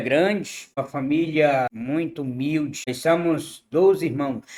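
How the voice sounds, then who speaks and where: This man talks very slowly. Pitch variation is ordinary. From Brazil, Piauí (Northeast). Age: 60s. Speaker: interviewee telling life story. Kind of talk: interview.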